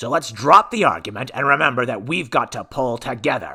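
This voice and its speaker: Speaking at a fairly quick pace, a man puts on a character voice with lively intonation. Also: medium pitch for a man. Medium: read story. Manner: curt, authoritative.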